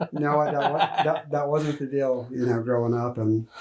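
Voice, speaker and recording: With an American accent, a man speaks at a fairly slow pace and medium pitch, his intonation fairly even, against noticeable background noise. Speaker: loan officer. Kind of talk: interview.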